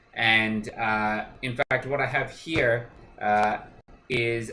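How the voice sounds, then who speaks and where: A man speaks over noticeable background noise. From Australia. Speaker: cooking show host. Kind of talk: live cooking stream. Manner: casual, many fillers.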